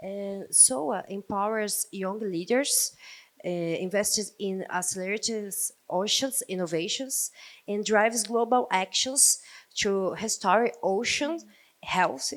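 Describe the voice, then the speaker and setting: In a Portuguese accent, a woman speaks very slowly. Her medium pitch shows ordinary variation. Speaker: ocean nonprofit representative. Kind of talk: panel introduction. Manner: halting.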